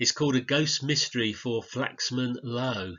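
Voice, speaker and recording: Speaking at a moderate pace, a man with a medium pitch and ordinary pitch variation has an unremarkable speaking voice. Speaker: author and educator. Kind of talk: educational lesson narration.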